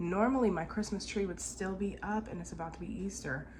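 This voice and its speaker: A woman's voice with vocal fry and ordinary pitch variation, set in audible room echo. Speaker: family vlogger. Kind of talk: casual vlog. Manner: relaxed, rambling.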